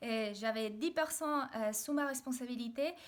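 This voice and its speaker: With a Mexican accent, a woman speaks in a high voice with lively intonation. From Mexico, Mexico City. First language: Spanish (speaking French). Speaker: video blogger. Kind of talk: personal video diary. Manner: hesitant, many fillers.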